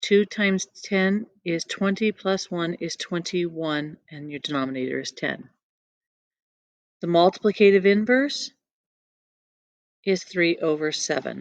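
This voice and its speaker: With dry, close sound and no echo, a woman talks at a fairly slow pace in a medium pitch, using ordinary pitch variation and long, frequent pauses. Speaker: math teacher. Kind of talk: tutorial.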